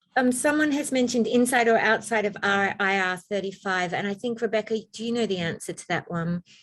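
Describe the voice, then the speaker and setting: Woman with an Australian accent at a fairly quick pace, hardly any pauses and ordinary pitch variation, against a quiet background. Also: fairly high pitch for a woman. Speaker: information session host. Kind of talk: Q&A information session.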